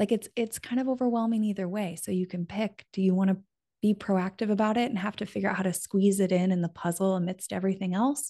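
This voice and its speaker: Over a quiet background, a woman with an American accent speaks at a very fast pace in a dark, mellow, somewhat breathy tone with fairly even intonation. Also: medium pitch for a woman. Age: 30s. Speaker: friendship author and podcaster. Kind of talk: interview.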